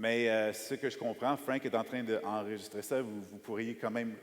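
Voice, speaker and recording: At a moderate pace, the speaker uses fairly even intonation with an American accent. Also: man. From United States. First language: English (speaking French). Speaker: preacher. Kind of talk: sermon. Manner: hesitant, many fillers.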